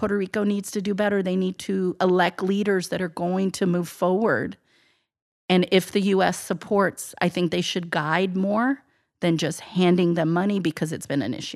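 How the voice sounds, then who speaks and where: On a very clean recording with a silent background, a woman uses a normal speaking voice at medium pitch, moderate pace and fairly even intonation. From US military family, moved around; Texas before Atlanta. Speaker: podcast guest. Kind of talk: interview conversation.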